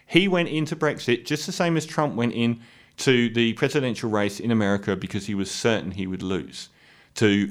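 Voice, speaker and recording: In a very clean recording with a silent background, a man with a British accent speaks at a moderate pace and medium pitch, his intonation lively. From UK. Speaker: political commentator. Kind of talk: monologue rant.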